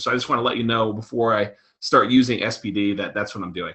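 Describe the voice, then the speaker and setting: An American-accented man speaks at a fairly quick pace. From New York. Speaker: real estate investor and presenter. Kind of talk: webinar presentation. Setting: recorded webinar. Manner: fast.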